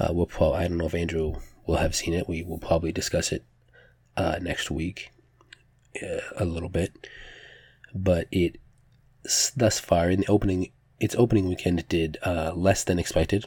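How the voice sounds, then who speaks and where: A man talks at a moderate pace with long, frequent pauses. His very deep, low voice is somewhat breathy, with fairly even intonation. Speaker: podcast host. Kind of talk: casual solo news roundup.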